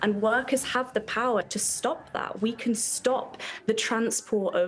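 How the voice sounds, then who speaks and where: Someone with a British accent talks over light background noise. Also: woman. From UK. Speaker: activist. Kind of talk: interview answer. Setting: live remote interview. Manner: passionate, fiery, urgent, declamatory. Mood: earnest, political conviction. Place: home room.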